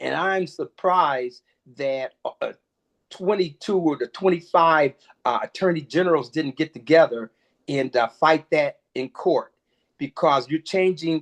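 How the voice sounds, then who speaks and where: A man's fairly high voice, a plain, everyday voice, with an American accent, ordinary pitch variation and a moderate pace, dry and close with no echo over a quiet background. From Michigan. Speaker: congressional candidate. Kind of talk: interview.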